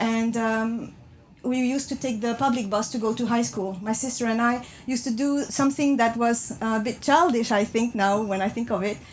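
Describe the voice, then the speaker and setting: A moderate pace, fairly even intonation and a slight non-native accent. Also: woman, fairly high pitch for a woman. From France. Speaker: speaker. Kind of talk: public talk. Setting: train compartment with passengers. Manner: halting.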